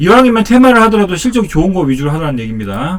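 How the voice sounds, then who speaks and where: A man speaks at a high pitch, his voice moving through very wide pitch swings. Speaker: stock market YouTuber. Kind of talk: casual market commentary. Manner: fast.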